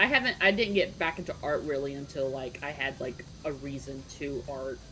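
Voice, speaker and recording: A woman speaks at a very deep, low pitch and a moderate pace, with ordinary pitch variation and big swings in loudness. Noticeable background noise sits behind her. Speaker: vtuber artist. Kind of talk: casual chat.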